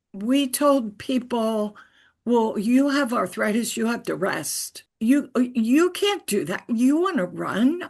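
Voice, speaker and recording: At a very slow pace, a woman speaks with a fairly high pitch against a quiet background. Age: 80s+. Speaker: retired physical therapist, webinar moderator. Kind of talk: webinar talk. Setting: online webinar.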